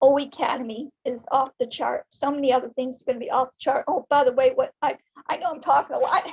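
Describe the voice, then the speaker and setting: A woman with a high voice talks at a very fast pace, her loudness swinging widely and her pitch varying in an ordinary way. The sound is dry and close with no echo. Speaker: network marketing member. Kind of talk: open mic testimony. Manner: animated.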